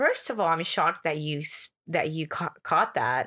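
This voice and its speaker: A woman with a Spanish accent speaks at a very deep, low pitch in a bright, sharp tone. Her fairly slow delivery sits on a very clean recording with a silent background. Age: 20s. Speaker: transformational coach and yoga instructor. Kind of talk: casual chat.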